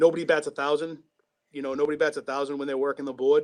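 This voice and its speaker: In a Boston accent, a man talks at a fairly high pitch with monotone, flat intonation. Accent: thick Boston. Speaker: sports radio producer. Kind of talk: casual chat.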